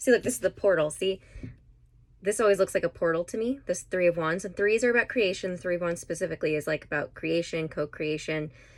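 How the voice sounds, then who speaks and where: Very clean recording with a silent background of a woman with ordinary pitch variation. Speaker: tarot card reader. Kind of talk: tarot reading monologue. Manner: fast; animated.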